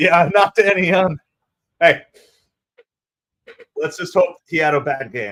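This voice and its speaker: A man speaks with a New Jersey accent. The sound is dry and close, with no echo. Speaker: baseball livestream host. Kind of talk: live fan play-by-play commentary. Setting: livestream. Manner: animated.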